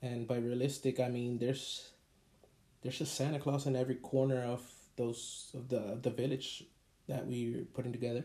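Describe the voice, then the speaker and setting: A somewhat breathy male voice of medium pitch, dark, mellow tone, and monotone, flat intonation. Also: moderate pace. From Puerto Rico. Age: 30s. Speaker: podcast host. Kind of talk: casual monologue.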